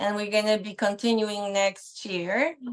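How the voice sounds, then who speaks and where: In a Polish accent, a woman speaks at a fairly slow pace. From Poland. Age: 50s. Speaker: speech pathologist. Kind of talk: guest talk on a live online show.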